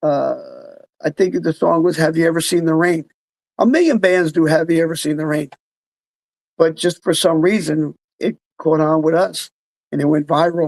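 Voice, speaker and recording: The voice has a New Jersey accent and a moderate pace. Long pauses come often. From New Jersey, Freehold. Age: 60s. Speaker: musician. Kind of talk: casual chat.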